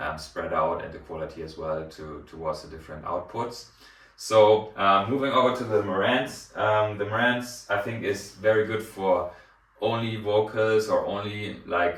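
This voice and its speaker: A man speaks at a fairly low pitch with ordinary pitch variation and big swings in loudness. Audible room echo and noticeable background noise surround him. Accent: German. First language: German. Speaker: hi-fi reviewer. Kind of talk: product review. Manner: hesitant with many fillers.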